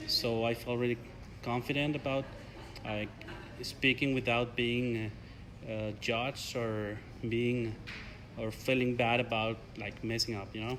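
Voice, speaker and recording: A man with a Spanish accent speaks fairly slowly in a medium pitch, flat and monotone, with long, frequent pauses. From Mexico. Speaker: graduate student, English learner. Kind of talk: interview. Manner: halting.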